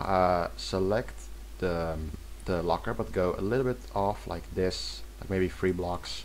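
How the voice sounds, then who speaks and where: Male speech, fairly slow, in a space with audible room echo. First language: not English. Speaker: video game mapping tutorial creator. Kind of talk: tutorial. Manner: halting, many self-corrections.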